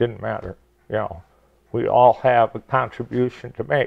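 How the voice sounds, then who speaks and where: The speaker is a man with an American accent. He talks at a fairly slow pace with vocal fry. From Michigan (Detroit area). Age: 70s. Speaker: retired teacher and basketball coach. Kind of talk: interview.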